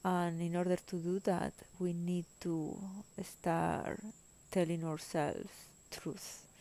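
A woman speaks with a Spanish accent in a dark, mellow tone and monotone, flat intonation. She goes at a very slow pace with long, frequent pauses. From Spain. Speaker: spiritual podcaster. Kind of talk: personal monologue. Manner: hesitant, frequent fillers.

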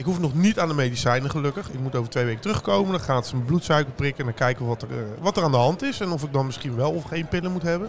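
The man's voice sits fairly high, with lively intonation. He talks at a very fast pace. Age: 40s. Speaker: podcast co-host. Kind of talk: casual chat.

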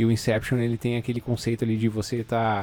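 With music in the background, a man at medium pitch talks at a very fast pace. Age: 30s. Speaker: podcast host. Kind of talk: casual chat. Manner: halting, with fillers and repetitions.

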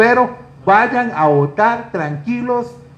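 Audible room echo surrounds a man speaking with lively intonation in a Costa Rican accent. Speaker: talk show host. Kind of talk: interview.

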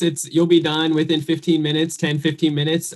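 A somewhat breathy man at a moderate pace. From New Jersey. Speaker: real estate investor and credit expert. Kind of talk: podcast interview.

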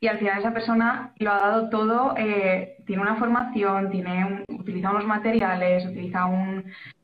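Amid audible room echo and noticeable background noise, a woman with a medium pitch talks at a moderate pace with hardly any pauses and monotone, flat intonation. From Valencia region, Spain. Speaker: illustrator and graphic designer. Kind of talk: casual chat.

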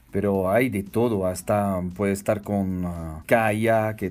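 A man speaks with a French accent. His voice sits at a fairly low pitch with fairly even intonation. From France, Strasbourg. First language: French (speaking Spanish). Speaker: hotel general manager. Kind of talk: interview.

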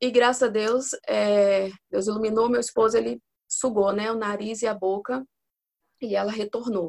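A woman's fairly high-pitched voice, with fairly even intonation, comes across dry and close with no echo. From Espírito Santo, Brazil. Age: 40s. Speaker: mother, accountant and pedagogy student. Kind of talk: casual interview.

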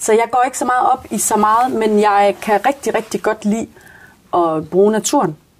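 A woman speaks at a moderate pace with very even loudness and a fairly high pitch. Her pitch varies in an ordinary way. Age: 30s. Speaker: social worker. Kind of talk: casual interview. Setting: small conversation booth at workplace. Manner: hesitant, many fillers.

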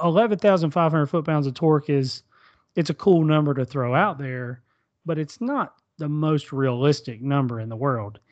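Against a quiet background, a man with an unremarkable speaking voice talks at a fairly slow pace in a fairly high pitch with ordinary pitch variation. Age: 40s. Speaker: podcast host. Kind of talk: casual chat.

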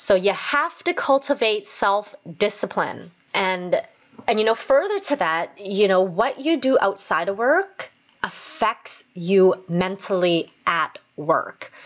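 With a Canadian accent, a woman talks at a medium pitch using lively intonation. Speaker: podcast host and dental assistant. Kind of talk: motivational solo podcast talk.

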